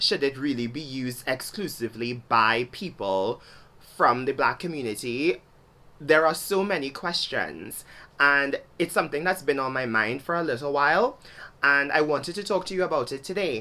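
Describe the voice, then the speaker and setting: A woman speaks with a Trinidadian accent at a very deep, low pitch. Her tone is bright and sharp, and her pace is moderate. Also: lively intonation. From Trinidad and Tobago. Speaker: video blogger. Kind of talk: video essay monologue.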